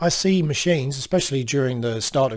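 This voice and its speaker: With an Australian accent, a man talks at a fairly quick pace and with ordinary pitch variation, on a very clean recording with a silent background. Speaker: computer technician. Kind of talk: casual talk to camera.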